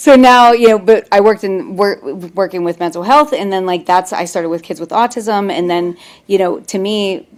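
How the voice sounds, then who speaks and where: A woman's plain, everyday voice at a medium pitch, with an American accent. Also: ordinary pitch variation. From US Northeast, Pittsburgh. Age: 40s. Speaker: mental health professional. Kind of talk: webinar conversation. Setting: video call. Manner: fast, run-on speech.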